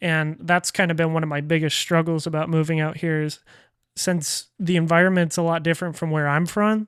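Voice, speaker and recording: A man with an American accent talks at a fairly quick pace in a high pitch and a flat, monotone intonation, on a very clean recording with a silent background. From Colorado (Denver). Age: 20s. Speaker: podcast host, content creator. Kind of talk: casual podcast chat.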